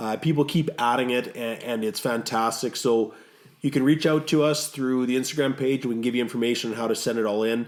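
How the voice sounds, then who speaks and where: A normal speaking voice from a man with a Canadian accent, medium pitch, fairly even intonation and a fairly quick pace. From Canada. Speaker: podcast co-host. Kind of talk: casual podcast chat.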